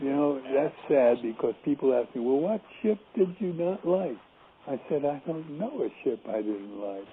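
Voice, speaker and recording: With very wide pitch swings, a man speaks fairly slowly in a fairly high pitch. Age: 80s+. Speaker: retired family physician. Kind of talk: interview. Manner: halting.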